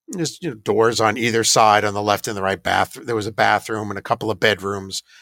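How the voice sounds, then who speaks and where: Talking at a fairly quick pace with an American accent, a man has a fairly low voice, a bright, sharp tone and fairly even intonation. The sound is dry and close with no echo, on a very clean recording with a silent background. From US Northeast, Hudson Valley, New York. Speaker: paranormal investigator. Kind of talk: interview.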